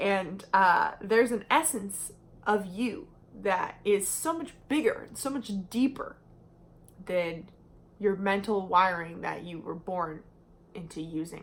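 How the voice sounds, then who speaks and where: A woman at medium pitch and a very slow pace, with long, frequent pauses, lively intonation and big swings in loudness. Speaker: personality type educator / YouTuber. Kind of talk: casual educational monologue. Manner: slow, deliberate; hesitant with fillers.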